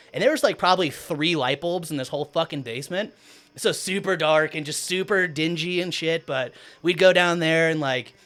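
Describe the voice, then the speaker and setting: Loud and animated, a man with an American accent talks at a fairly quick pace in a fairly high pitch, his tone bright and sharp and his pitch variation ordinary. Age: 30s. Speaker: DJ and producer. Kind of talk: casual chat. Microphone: far from the mic.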